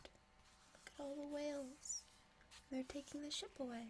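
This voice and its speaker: A woman talks in a soft-spoken way. Her pace is fairly slow. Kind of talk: ASMR bedtime story reading. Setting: reading a picture book to camera.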